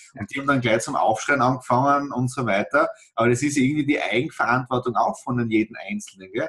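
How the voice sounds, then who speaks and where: Over noticeable background noise, the voice moves at a very fast pace with ordinary pitch variation. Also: man, medium pitch for a man. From Austria, south-eastern Styria. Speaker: podcast host. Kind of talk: casual interview.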